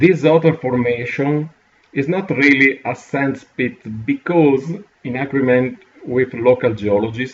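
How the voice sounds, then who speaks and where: A man with an Italian accent, medium pitch, ordinary pitch variation and a fairly slow pace. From Italy. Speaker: geography educator. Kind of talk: tutorial. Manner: halting, many fillers.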